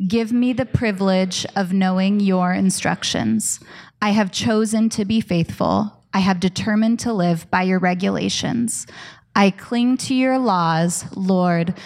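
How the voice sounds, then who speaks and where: Here is a woman with an ordinary speaking voice, medium in pitch, at a fairly slow pace. Her loudness stays very even and her pitch varies in an ordinary way. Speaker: church pastor. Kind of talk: scripture reading and introduction. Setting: church.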